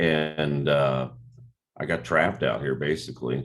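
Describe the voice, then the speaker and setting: This man speaks at a fairly slow pace in a very deep, low pitch with vocal fry and fairly even intonation. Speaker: rock singer and actor. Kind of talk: interview. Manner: casual.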